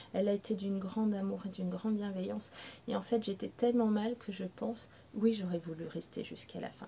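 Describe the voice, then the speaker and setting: A woman with a fairly high voice talks fairly quickly, keeping her intonation fairly even. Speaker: pet behaviour consultant. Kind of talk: personal testimony to camera. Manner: emotional, hesitant.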